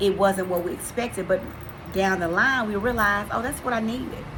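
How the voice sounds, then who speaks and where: Over noticeable background noise and audible room echo, a woman speaks at a medium pitch. Her pace is fairly quick and her intonation fairly even. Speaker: faith vlogger. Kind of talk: inspirational faith talk. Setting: pre-recorded video. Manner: earnest.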